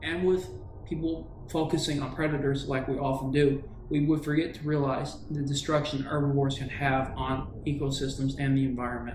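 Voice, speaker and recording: With noticeable background noise behind him, a man talks in a flat monotone at a fairly high pitch, with hardly any pauses. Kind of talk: movie review talk. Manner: agitated, sometimes rushed.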